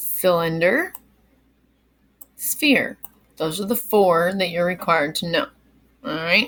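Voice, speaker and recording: Upbeat and with lively intonation, a woman speaks at a very slow pace with long, frequent pauses. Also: medium pitch for a woman. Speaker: kindergarten teacher. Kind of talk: recorded lesson for young children. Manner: casual, upbeat teacher talk with fillers.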